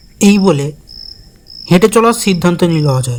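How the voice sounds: Here a man speaks at a high pitch in a slightly mellow tone. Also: lively intonation, moderate pace.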